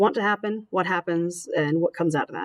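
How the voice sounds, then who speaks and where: A woman talking at a fairly quick pace. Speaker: teacher. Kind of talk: lecture. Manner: fast.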